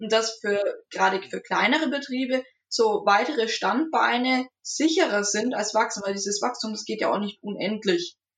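Speaking at a moderate pace, a woman uses a plain, everyday voice with fairly high pitch and ordinary pitch variation. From Franconia, Nuremberg. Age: 20s. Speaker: agriculture student. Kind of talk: casual chat.

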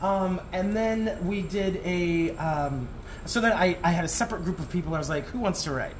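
Over noticeable background noise and audible room echo, a man with an American accent talks at a moderate pace. His pitch is high, with ordinary variation. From Arizona (Tucson). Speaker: entertainment producer and performer. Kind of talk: casual interview. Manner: hesitant, many fillers.

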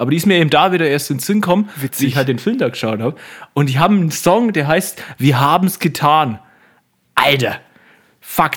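With long, frequent pauses, a man talks at a fairly quick pace in a fairly high pitch and an animated tone. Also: lively intonation. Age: 20s. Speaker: podcast co-host. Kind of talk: casual chat.

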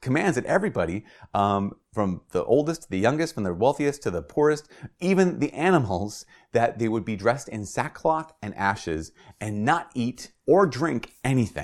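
At a moderate pace with long, frequent pauses, a man speaks at a medium pitch with very wide pitch swings in a very clean recording with a silent background. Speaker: priest. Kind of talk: homily-style talk. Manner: casual, conversational.

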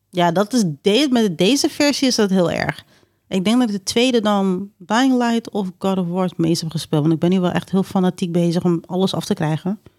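A woman's medium-pitched voice at a moderate pace, with ordinary pitch variation and an ordinary speaking voice. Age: 30s. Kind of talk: casual chat.

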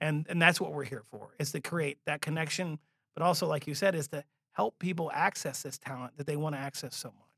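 Fairly high in pitch, a man speaks at a fairly quick pace in a bright, sharp tone with fairly even intonation. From Louisiana. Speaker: Marine Corps veteran, nonprofit director. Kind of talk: casual interview.

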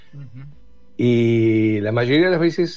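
A man's medium-pitched voice in a Rioplatense accent, with ordinary pitch variation. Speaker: communication consultant. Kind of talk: radio interview. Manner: halting.

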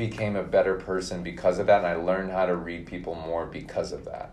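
Audible room echo surrounds a man whose voice is very deep and low. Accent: American. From Minnesota. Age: 30s. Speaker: podcast guest. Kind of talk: casual interview.

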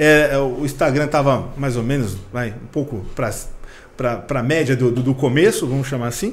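In a room with audible echo, a somewhat breathy man speaks at a fairly slow pace and medium pitch, with ordinary pitch variation. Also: hardly any pauses. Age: middle-aged. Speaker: vintage car content creator. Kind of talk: casual interview.

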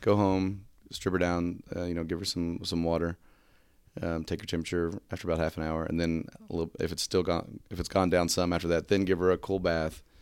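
Clear and smooth in tone, a man speaks at a fairly quick pace in a low pitch with little pitch movement.

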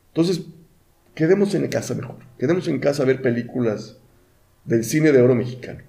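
A man's dark, mellow, somewhat breathy voice at a fairly quick pace, broken by long, frequent pauses. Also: medium pitch for a man, ordinary pitch variation. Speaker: podcast co-host. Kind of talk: casual chat.

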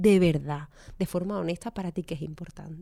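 The voice has a dark, mellow tone and ordinary pitch variation. It carries an Andalusian accent. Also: woman. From Andalusia, Málaga. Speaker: economist and financial coach. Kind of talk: interview.

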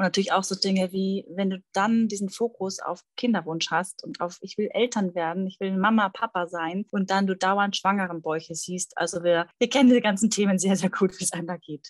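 A woman's medium-pitched voice, a normal speaking voice, with fairly even intonation, hardly any pauses, and a dry, close sound free of echo. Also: moderate pace. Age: 30s. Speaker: fertility coach. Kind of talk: interview conversation.

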